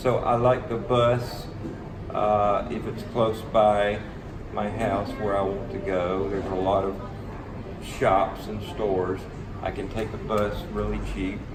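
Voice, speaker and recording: A man with an Alabama accent speaks at a very slow pace and a fairly low pitch, with monotone, flat intonation and long, frequent pauses. Audible room echo and noticeable background noise fill the recording. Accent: Southern US (Alabama). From US South. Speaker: English teacher. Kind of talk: interview. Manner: hesitant, many fillers.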